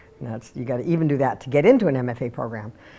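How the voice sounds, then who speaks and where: A woman talks very fast in a dark, mellow tone. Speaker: mature student and theater director. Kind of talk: personal testimony.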